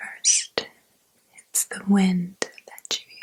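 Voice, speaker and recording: Speech comes very slowly. The speaker is soft-spoken. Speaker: ASMR creator. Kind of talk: ASMR spiritual guided meditation.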